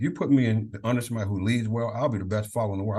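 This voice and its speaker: A man talks at a very fast pace in an American accent. His voice is somewhat breathy and fairly low in pitch. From Maryland, Prince George's County. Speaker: college football leadership coach, former Marine. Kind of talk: podcast interview.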